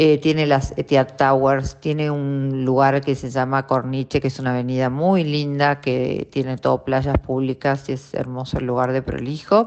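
A woman with a very deep, low pitch speaks at a moderate pace in a monotone, flat intonation with hardly any pauses. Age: 50s. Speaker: radio host. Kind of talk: casual chat.

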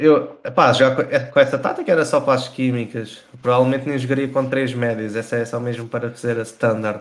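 Using an unremarkable speaking voice, a man talks at a fairly quick pace in medium pitch with fairly even intonation and hardly any pauses. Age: 20s. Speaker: professional esports player. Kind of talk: casual chat. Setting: livestreamed podcast.

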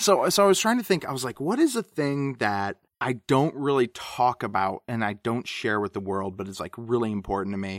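With a dry, close sound and no echo, a man in a normal speaking voice talks at medium pitch and a fairly quick pace, with hardly any pauses. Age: 30s. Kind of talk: casual chat. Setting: remote recording call.

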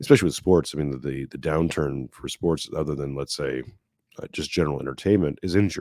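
In a Canadian accent, a man talks at a very fast pace with a very deep, low pitch. His tone is dark and mellow, with vocal fry. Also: ordinary pitch variation, big swings in loudness. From Quebec, Montreal. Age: 40s. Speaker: podcast host. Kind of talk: casual chat.

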